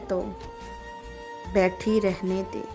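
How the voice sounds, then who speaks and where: A woman speaks with music in the background. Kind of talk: poetry reading.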